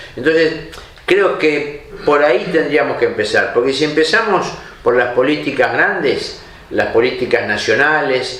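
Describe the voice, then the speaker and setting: Amid audible room echo and noticeable background noise, a man speaks at a fairly slow pace with very even loudness. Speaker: TV columnist. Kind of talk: opinion commentary to camera.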